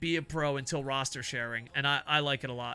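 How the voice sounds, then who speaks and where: The speaker is a man with a bright, sharp tone. He moves along at a moderate pace. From US, New Jersey. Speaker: video game streamer. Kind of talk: casual live-stream chat. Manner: stutter; casual, halting.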